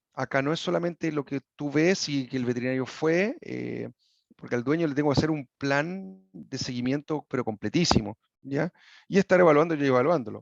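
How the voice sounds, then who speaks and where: The man's voice sits at a fairly high pitch with ordinary pitch variation. The sound is dry and close with no echo, against a quiet background. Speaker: equine sports medicine veterinarian. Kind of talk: lecture. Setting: video call. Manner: fast; hesitant, with many fillers and restarts.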